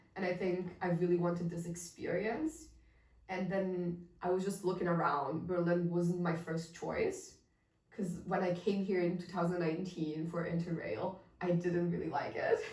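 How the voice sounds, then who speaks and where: A woman speaks at a moderate pace in a monotone, flat delivery, with audible room echo. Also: fairly low pitch for a woman. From Italy, Milan. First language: Italian. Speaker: podcast co-host, designer. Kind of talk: casual chat.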